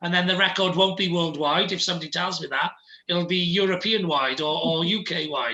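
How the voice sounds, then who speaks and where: A man's high-pitched voice at a fairly quick pace, with ordinary pitch variation over noticeable background noise. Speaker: entrepreneur and podcaster. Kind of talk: interview. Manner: fast.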